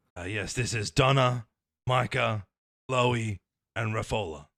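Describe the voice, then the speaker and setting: On a very clean recording with a silent background, a man uses a raspy, put-on character voice at a medium pitch and a fairly slow pace. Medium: actual play. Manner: hesitant.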